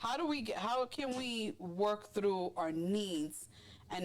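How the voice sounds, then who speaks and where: Loud and animated, a woman's voice swings very widely in pitch. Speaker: podcast host. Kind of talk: casual chat.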